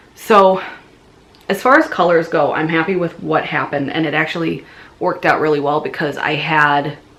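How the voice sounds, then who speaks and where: This woman has a very deep, low voice and a Midwestern accent. Her intonation stays fairly even at a moderate pace. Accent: Midwest. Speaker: knitting podcaster. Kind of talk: casual video podcast monologue. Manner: hesitant, many fillers and restarts.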